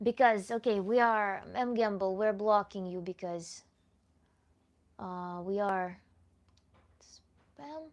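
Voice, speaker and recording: Talking very slowly with long, frequent pauses and big swings in loudness, a woman with a non-native accent speaks at medium pitch against a quiet background. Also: ordinary pitch variation. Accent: foreign accent that viewers ask about. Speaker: tantra coach. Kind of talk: livestream Q&A. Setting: livestream.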